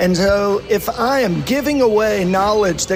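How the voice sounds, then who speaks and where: Music plays in the background as a man talks. His voice is high-pitched, with lively intonation. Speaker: author and financial advisor. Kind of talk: interview. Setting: barbecue restaurant with music.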